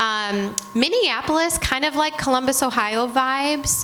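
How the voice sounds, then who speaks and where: Energetic in tone, a woman with a Michigan accent speaks with ordinary pitch variation over noticeable background noise. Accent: Michigan accent, nasal. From Michigan, US Midwest. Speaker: retail merchandising executive. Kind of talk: panel talk with students. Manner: loud.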